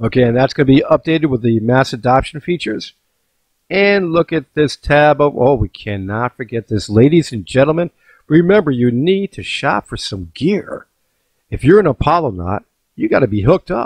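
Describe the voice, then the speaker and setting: The sound is dry and close, with no echo. The pitch swings very widely. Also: man, fairly high pitch for a man. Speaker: crypto video host. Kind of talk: casual vlog with screen demo. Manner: fast, animated.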